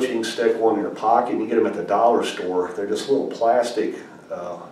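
A man speaks fairly quickly, and the room echo is audible. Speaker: amateur birding instructor. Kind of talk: casual tutorial talk. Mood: earnest anecdote. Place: home room. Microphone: camera far.

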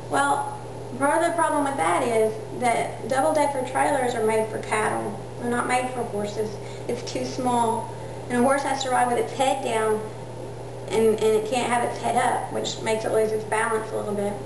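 Noticeable background noise and audible room echo fill the recording. A woman speaks at a moderate pace. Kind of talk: informal speech to camera. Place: home room. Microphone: camera far.

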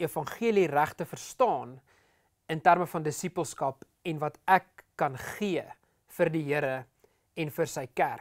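A man's voice sits fairly high and rises and falls in an ordinary way, with a quiet background behind him. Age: 30s. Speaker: pastor. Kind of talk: sermon. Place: studio. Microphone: lapel.

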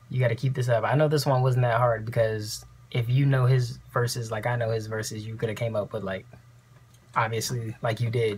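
A man's somewhat breathy, monotone voice at a fairly quick pace, flat in intonation. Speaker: reaction vlogger. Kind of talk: casual vlog chat. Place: home room. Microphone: earbuds.

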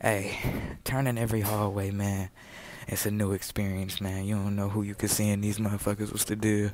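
Over light background noise, a man uses an ordinary speaking voice, fairly low in pitch and fairly quick, with a dry sound and no echo. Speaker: vlogger. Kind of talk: casual vlog chat. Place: hall. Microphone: earbuds.

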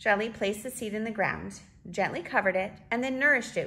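Someone reads in an unforced reading voice, with ordinary pitch variation.

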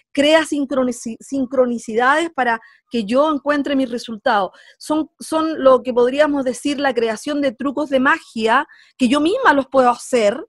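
In a Chilean accent, a woman speaks with a high pitch and ordinary pitch variation, the sound dry and close with no echo. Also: moderate pace.

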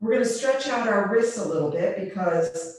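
A woman's voice carries strong room echo. Light background noise is also present. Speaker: yoga teacher. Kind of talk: instruction. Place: home room. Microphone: webcam.

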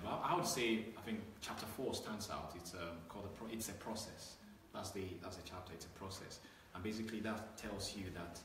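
Amid noticeable background noise and audible room echo, a man talks at a fairly quick pace in a monotone, flat intonation. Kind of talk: interview answer. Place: office. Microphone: camera far.

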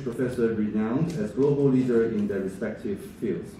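Audible room echo and light background noise around a man's moderate pace. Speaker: event host introducing the lecture. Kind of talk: formal speech introduction. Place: hall.

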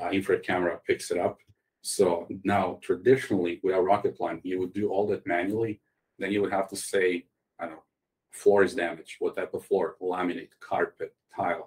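With a Croatian accent, a man speaks at a fairly quick pace. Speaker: tech startup CEO. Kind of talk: interview.

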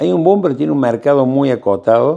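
The background stays quiet while a man talks at a moderate pace. His pitch swings very widely. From Argentina. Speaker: architect. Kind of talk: interview. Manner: halting. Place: office. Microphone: lapel.

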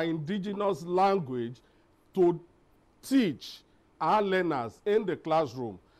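The delivery comes at a very slow pace with lively intonation. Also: man. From Nigeria. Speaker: company founder, employer; guest. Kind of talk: panel discussion. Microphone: lapel.

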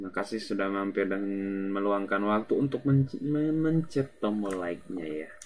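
A man's fairly low voice moves at a moderate pace with big swings in loudness. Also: lively intonation. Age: 20s. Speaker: gaming streamer. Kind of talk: live gameplay stream chat. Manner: casual, rambling.

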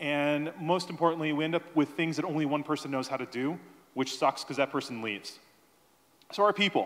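Speaking at a fairly quick pace, a man with a fairly high-pitched voice uses ordinary pitch variation. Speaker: conference speaker. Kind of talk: conference talk. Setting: stage with audience. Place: hall. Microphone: handheld.

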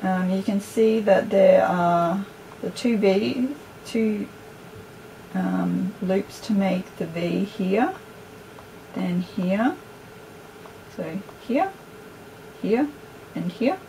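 A woman's dark, mellow voice at medium pitch, very slow, with long, frequent pauses over faint background noise. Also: ordinary pitch variation.

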